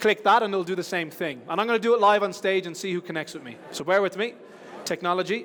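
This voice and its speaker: A man with an Irish accent speaks at a very fast pace in a high voice. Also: ordinary pitch variation, big swings in loudness. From Ireland. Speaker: conference speaker. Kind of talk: conference talk. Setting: stage with audience.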